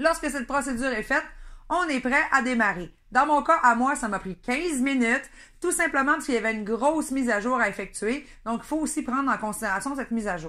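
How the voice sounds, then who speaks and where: A woman with a Saguenay accent uses a raised, projected voice with a high pitch and a bright, sharp tone. She moves at a fairly quick pace with lively intonation, in a very clean recording with a silent background. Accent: Saguenay Quebec French. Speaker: product reviewer. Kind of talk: product review. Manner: hesitant, many fillers.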